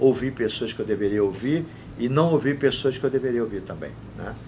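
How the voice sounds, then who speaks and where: Vocal fry marks this man's voice as he speaks at a moderate pace with ordinary pitch variation. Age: 60s. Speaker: former football club president. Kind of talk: interview. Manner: animated.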